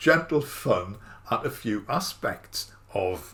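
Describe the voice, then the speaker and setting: Speaking at a very slow pace, a man with a northeast English accent sounds somewhat breathy and moves through very wide pitch swings. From northeast England. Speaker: musician and YouTuber. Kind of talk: casual talk to camera.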